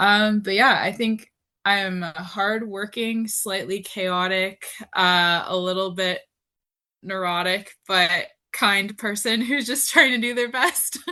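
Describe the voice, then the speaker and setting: A woman's medium-pitched voice with a Canadian accent, bright and sharp in tone, at a very slow pace with ordinary pitch variation over a quiet background. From Canada. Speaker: athlete. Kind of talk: casual interview.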